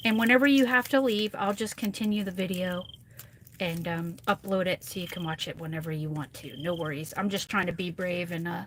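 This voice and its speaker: A woman's somewhat breathy voice at medium pitch, with ordinary pitch variation and a fairly quick pace. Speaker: craft tutorial livestreamer. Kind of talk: live craft tutorial chat. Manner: soft-spoken, near whispering. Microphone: too quiet for viewers.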